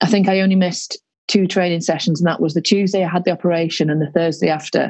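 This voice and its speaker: A woman in a Yorkshire accent, very fast, fairly low in pitch, with fairly even intonation. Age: 30s. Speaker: rugby league player and teacher. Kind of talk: casual interview. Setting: video call.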